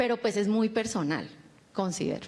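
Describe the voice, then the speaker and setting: This woman talks in a Cali accent. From Colombia, Cali. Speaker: communicator. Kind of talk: panel discussion.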